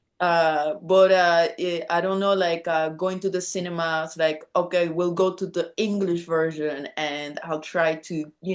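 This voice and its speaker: Against a quiet background, a woman with a Spanish accent speaks in a fairly low pitch with monotone, flat intonation. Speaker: rock musician. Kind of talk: casual chat. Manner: halting.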